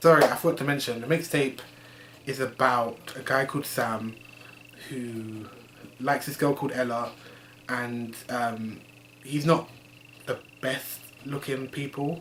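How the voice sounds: Speaking at a fairly slow pace with long, frequent pauses, a man uses a medium pitch, a fairly bright tone and fairly even intonation.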